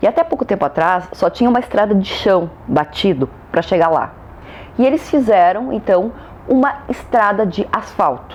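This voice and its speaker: A woman with a rural Brazilian accent speaks with very wide pitch swings over noticeable background noise. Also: medium pitch for a woman, moderate pace, very even loudness. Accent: Brazilian countryside. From Brazil, countryside (interior). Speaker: law lecturer. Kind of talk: lecture.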